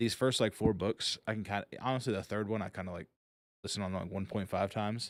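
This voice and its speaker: On a very clean recording with a silent background and a dry, close sound with no echo, a man speaks very fast at a fairly low pitch with fairly even intonation. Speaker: podcast host. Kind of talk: casual chat.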